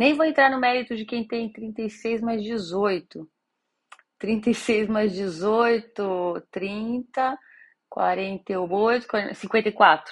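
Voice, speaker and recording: The voice moves at a very slow pace with ordinary pitch variation. The background is quiet. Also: woman, fairly high pitch for a woman. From Brazil, São Paulo city. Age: 30s. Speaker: podcast host. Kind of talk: casual monologue.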